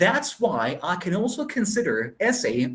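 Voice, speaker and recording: A man is speaking. His pitch swings very widely. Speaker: guest lecturer on literature. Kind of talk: presentation in an online session. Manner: halting, many fillers.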